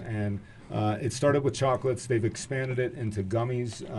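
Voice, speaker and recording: Here a man talks at a moderate pace and a medium pitch, his tone dark and mellow. His voice is somewhat breathy, with ordinary pitch variation. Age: 40s. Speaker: cannabis dispensary representative. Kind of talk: casual chat. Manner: halting.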